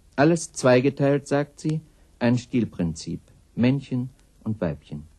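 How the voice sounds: In a put-on character voice, a man talks fairly slowly at a medium pitch with big pitch swings and a dark, mellow tone that carries a slightly husky edge.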